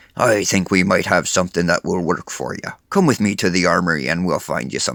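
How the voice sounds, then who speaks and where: In a put-on character voice, a man talks raspily at a very deep, low pitch and a fairly quick pace, with hardly any pauses. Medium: read story. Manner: friendly.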